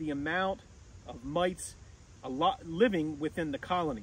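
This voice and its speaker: A man speaks at a moderate pace with a high pitch. There is no echo, and the sound is dry. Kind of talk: tutorial. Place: open country. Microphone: camera far.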